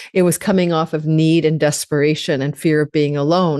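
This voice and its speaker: Against a quiet background, a woman speaks at a moderate pace in a fairly low pitch, with a dark, mellow tone and fairly even intonation. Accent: Canadian. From Canada. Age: 60s. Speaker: astrologer. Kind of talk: astrology forecast talk. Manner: halting with fillers.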